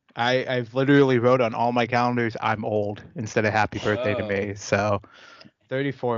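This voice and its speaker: At a moderate pace, a man speaks in a medium pitch with an unremarkable speaking voice. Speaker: podcast co-host. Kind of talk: casual chat.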